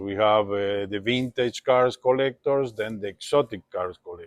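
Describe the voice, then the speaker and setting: This man has a Spanish accent and a medium-pitched voice. His intonation is fairly even, and the sound is dry and close with no echo. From Uruguay. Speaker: classic car dealer. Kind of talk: interview monologue.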